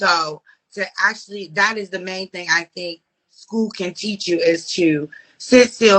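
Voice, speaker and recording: A woman speaks with a slight DC accent and ordinary pitch variation. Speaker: podcast co-host. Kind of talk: casual chat. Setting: Instagram live stream.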